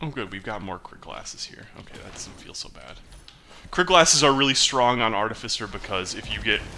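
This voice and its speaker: Over noticeable background noise, a medium-pitched man talks at a fairly quick pace with lively intonation and big swings in loudness. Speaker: gaming YouTuber. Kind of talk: live gameplay commentary. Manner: mumbles to himself at times; casual, conversational.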